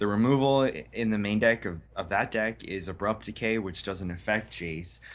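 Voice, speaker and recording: A man with an American accent talks in a normal speaking voice, fairly low-pitched with ordinary pitch variation. He keeps a moderate pace with hardly any pauses. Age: 30s. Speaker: card game tournament champion. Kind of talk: casual interview.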